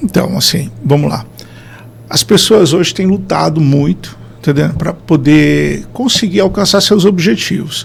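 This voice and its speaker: Noticeable background noise is audible. The man talks at a fairly slow speed. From Brazil, interior of Paraná (Maringá region). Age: 40s. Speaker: neurotherapist, performance consultant. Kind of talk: podcast interview.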